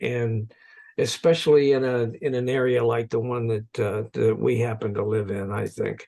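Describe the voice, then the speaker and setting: An unremarkable speaking voice goes at a moderate pace with ordinary pitch variation. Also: man. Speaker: podcast host. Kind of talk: interview questions.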